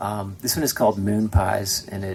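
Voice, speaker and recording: Speech at a moderate pace runs over noticeable background noise. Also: man. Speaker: folk duo musician. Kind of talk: stage banter between songs. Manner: hesitant, many fillers.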